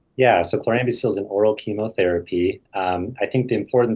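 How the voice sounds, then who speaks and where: A somewhat breathy man with fairly even intonation over a quiet background. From US Midwest, Iowa. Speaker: hematologist-oncologist. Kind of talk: expert Q&A webinar. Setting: video call webinar.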